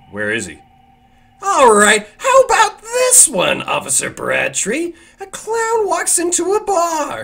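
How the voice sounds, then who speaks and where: A man puts on a character voice pitched extremely high, speaking at a fairly slow pace. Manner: mocking, theatrical.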